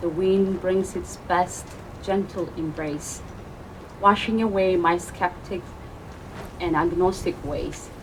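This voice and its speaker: A woman with a non-native accent speaks at a very slow pace in a fairly low pitch, with audible room echo and noticeable background noise. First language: not English. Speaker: open mic poet. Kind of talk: poetry reading. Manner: halting.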